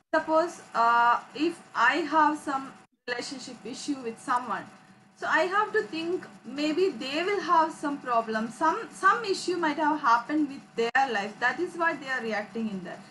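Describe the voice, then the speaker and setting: The voice is raised and projected, moving at a fairly slow pace with lively intonation. Loudness swings widely over light background noise. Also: woman, high pitch for a woman. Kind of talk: class discussion. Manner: halting. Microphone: video call.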